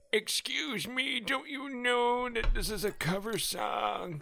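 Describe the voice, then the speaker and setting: Someone puts on a character voice, pitched fairly high and delivered at a fairly slow pace. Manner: crotchety, complaining.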